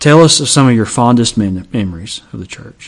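At a fairly slow pace, a man with an Appalachian accent speaks at a medium pitch with ordinary pitch variation. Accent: Southern Appalachian American. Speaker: podcast co-host, church member. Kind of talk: casual chat. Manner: hesitant, many fillers.

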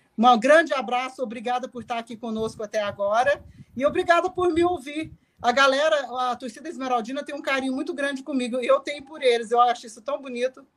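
A woman's high-pitched voice at a very fast pace, with big swings in loudness and ordinary pitch variation. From Brazil, interior of Goiás. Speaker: football club director. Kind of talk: casual chat.

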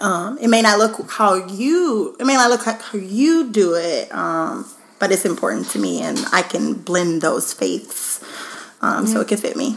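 Noticeable background noise runs beneath a woman who talks at a fairly slow pace. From Louisiana, Baton Rouge. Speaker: blogger. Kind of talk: casual chat.

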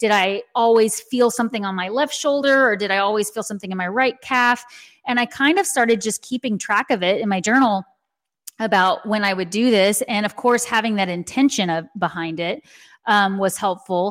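A woman with an American accent at a moderate pace, fairly high in pitch with ordinary variation. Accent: slight Texan, can switch to Southern. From Texas. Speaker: intuitive, Reiki master and author. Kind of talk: casual podcast interview. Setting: video call.

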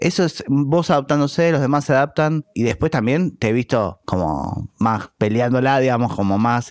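In a Rioplatense accent, a man speaks at a moderate pace with a medium pitch, lively intonation and very even loudness. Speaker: podcast host. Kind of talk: interview.

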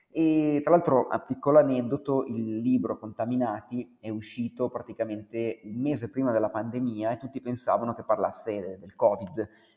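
Against noticeable background noise, a man of medium pitch speaks at a moderate pace with ordinary pitch variation, big swings in loudness and hardly any pauses. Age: 40s. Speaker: author and former musician. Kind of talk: interview.

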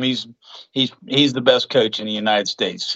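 A man with an Appalachian accent talks at a fairly quick pace with ordinary pitch variation. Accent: Appalachian American. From West Virginia. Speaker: filmmaker and boxing coach. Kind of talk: casual chat.

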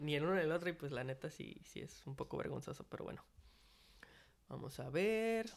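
A man talks at a fairly quick pace with a fairly high pitch and lively intonation. Long, frequent pauses break up his speech. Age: 20s. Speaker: podcast host. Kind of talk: casual monologue. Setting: hotel dining room, open space. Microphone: possible echo, no pop filter.

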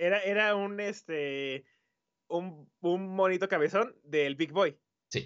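The speaker has a Mexican accent. The pace is very slow. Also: man, high pitch for a man, ordinary pitch variation. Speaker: podcast co-host. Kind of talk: casual chat.

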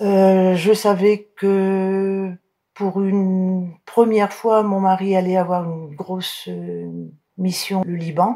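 A woman's medium-pitched voice, monotone and flat, at a very slow pace. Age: 70s. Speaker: military wife. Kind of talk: testimony. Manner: halting.

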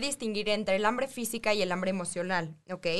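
A woman talks at a fairly quick pace in a medium pitch. Noticeable background noise runs behind her. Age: 20s. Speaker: nutritionist. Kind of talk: radio interview.

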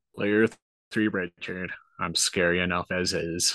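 A man puts on a character voice, pitched very deep and low and delivered at a fairly slow pace. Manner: spooky.

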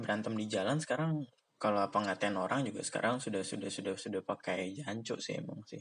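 A man speaks fairly quickly at a medium pitch, which shifts with ordinary variation. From Jakarta area (Bekasi), Indonesia. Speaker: podcaster, university student. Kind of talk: casual solo monologue. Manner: rambling with frequent fillers and repetitions.

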